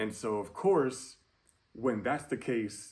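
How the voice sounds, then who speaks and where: A man with an American accent speaks in an animated tone at a fairly slow pace, with ordinary pitch variation. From New York. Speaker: YouTuber. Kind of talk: casual vlog monologue. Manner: halting, many fillers; casual, animated.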